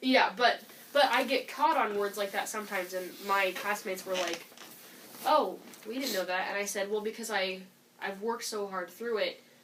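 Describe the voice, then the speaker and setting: At a moderate pace, a woman speaks at a medium pitch with ordinary pitch variation over noticeable background noise. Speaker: student teacher. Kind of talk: casual chat.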